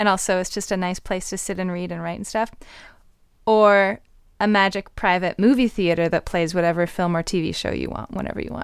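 A normal speaking voice from a woman with a Canadian accent, medium pitch, fairly even intonation and a fairly quick pace, on a very clean recording with a silent background. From Canada. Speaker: vocalist and podcast co-host. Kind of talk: scripted narration; casual interview.

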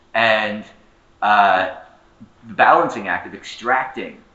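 Audible room echo surrounds a man as he speaks. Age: 30s. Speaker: historian and labor organizer. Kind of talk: conference panel talk.

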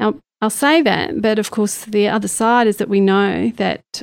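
A woman's plain, everyday voice at a moderate pace, with ordinary pitch variation, on a very clean recording with a silent background. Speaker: stroke researcher professor. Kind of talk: interview conversation.

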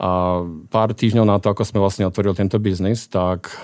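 A man with an unremarkable speaking voice keeps a fairly even intonation. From Slovakia, Martin. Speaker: business executive. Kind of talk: radio interview. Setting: studio.

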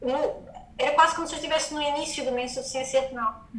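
Raised and projected, a woman's high-pitched voice carries fairly even intonation. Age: 30s. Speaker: yoga teacher and wellness entrepreneur. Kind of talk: personal testimony in interview.

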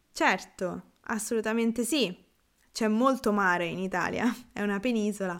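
A woman's fairly high voice with ordinary pitch variation, in a very clean recording with a silent background. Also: moderate pace. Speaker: Italian language teacher podcaster. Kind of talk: casual Q&A monologue. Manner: relaxed.

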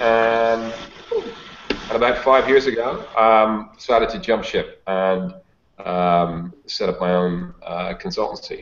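The speaker has a Dublin accent and lively intonation. The pace is very slow. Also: man, medium pitch for a man. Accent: Irish (Dublin). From Ireland, Dublin. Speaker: sales consultant and author. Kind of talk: interview. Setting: video call.

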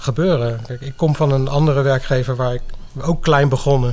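Amid noticeable background noise and audible room echo, a man speaks in a flat, monotone medium pitch at a moderate pace. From Netherlands, The Hague. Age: 50s. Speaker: software developer. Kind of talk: interview.

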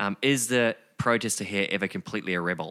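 A man with a New Zealand accent, bright and sharp in tone, medium in pitch, lively in intonation and fairly quick, on a very clean recording with a silent background. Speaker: podcast co-host. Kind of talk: casual conversation.

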